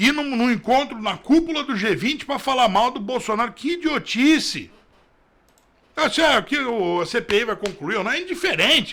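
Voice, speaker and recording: Bright and sharp in tone, a man's animated, raised, projected voice sits at an extremely high pitch. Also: lively intonation, moderate pace. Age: 40s. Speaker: political commentator. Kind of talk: news commentary.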